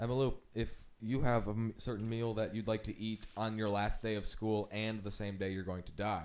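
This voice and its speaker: A normal speaking voice from a man, fairly low in pitch, fairly even in intonation, at a fairly quick pace. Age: 20s. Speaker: improv comedian. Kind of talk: casual chat.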